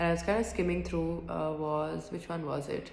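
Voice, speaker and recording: A soft-spoken woman with a very deep, low pitch speaks in a monotone, flat way amid noticeable background noise and audible room echo. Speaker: student. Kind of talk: reflective monologue. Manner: halting.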